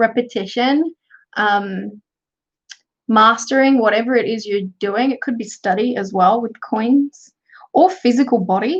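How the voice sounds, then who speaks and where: A woman with an Australian accent, fairly high pitch and ordinary pitch variation, at a fairly slow pace. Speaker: tarot reader and craft youtuber. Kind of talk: livestream tarot reading. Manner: casual.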